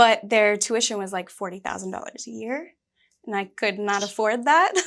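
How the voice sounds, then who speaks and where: This is a very clean recording with a silent background. A woman speaks at a moderate pace with a medium pitch and ordinary pitch variation. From US South, Georgia. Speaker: actress. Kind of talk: interview. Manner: casual, fillers like 'like'.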